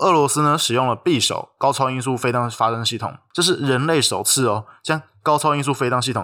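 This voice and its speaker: With a bright, sharp tone, a man of medium pitch speaks at a fairly quick pace with ordinary pitch variation. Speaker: podcast co-host. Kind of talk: scripted discussion of news. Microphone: non-studio recording, sharper thinner sound.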